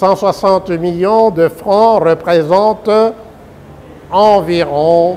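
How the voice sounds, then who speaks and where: With music in the background, a man with a high voice speaks very slowly and with fairly even intonation. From DR Congo. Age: 70s. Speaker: presidential candidate and law professor. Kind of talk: political statement to the public.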